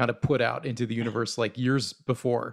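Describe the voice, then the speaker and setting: This man talks at a moderate pace with a medium pitch. Vocal fry runs through his voice. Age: 30s. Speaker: collector and podcast co-host. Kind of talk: casual chat.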